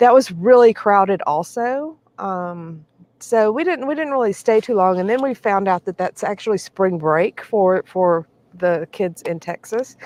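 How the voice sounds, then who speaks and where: A woman speaks at a fairly slow pace in a medium pitch, her intonation lively, over a quiet background with a dry, close sound and no echo. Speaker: RV travel vlogger. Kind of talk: casual live stream chat. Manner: loud.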